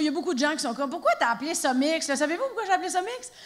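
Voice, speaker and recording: With noticeable background noise behind her, a woman speaks very fast in a high pitch with an energetic, playful tone and ordinary pitch variation. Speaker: stand-up comedian. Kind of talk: live stand-up comedy performance. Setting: live theatre audience.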